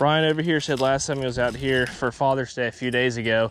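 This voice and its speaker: A man with ordinary pitch variation, dry sound with no echo, and light background noise. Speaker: fishing vlogger. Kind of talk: casual vlog chat. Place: waterside. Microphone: phone near.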